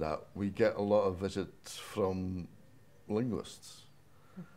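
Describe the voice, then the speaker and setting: Speaking very slowly with a Shetland accent, a man uses a fairly low pitch with ordinary pitch variation. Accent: Shetland Scots. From Shetland, Scotland. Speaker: dialect storyteller and tour guide. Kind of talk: panel discussion. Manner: dry humour, somewhat halting. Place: hall. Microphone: lapel.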